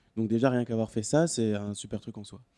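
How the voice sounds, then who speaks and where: A man's medium-pitched voice with a dark, mellow tone and ordinary pitch variation, in a dry, close sound with no echo. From Quebec. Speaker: podcast panelist. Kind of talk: casual chat.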